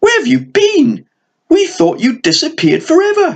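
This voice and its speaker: In a put-on character voice, a man sounds squeaky at an extremely high pitch, keeping a moderate pace. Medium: read story.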